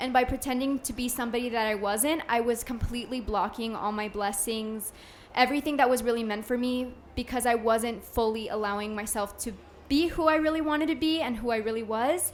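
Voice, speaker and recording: A woman talks loudly at a fairly quick pace. Her pitch is high, with ordinary pitch variation. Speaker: podcast guest, businesswoman. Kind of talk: live podcast conversation. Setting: live podcast event with audience.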